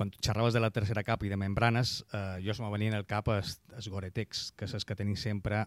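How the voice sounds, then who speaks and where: With a Mallorcan accent, a man speaks fairly quickly at a fairly low pitch in a monotone, flat way, on a very clean recording with a silent background. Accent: Mallorcan Catalan. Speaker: radio host. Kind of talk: radio interview.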